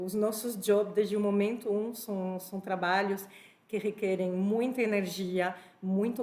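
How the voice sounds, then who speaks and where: A woman with a French accent talks at a fairly slow pace in a medium pitch. Her intonation is fairly even, and background noise is noticeable. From France (born in Spain). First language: French (speaking Portuguese). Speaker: HR executive, panel speaker. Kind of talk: panel talk.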